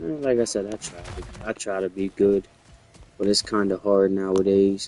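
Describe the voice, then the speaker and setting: There is noticeable background noise as a soft-spoken man talks at a moderate pace. His pitch is fairly low, with ordinary variation. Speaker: gaming streamer. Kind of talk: casual chat.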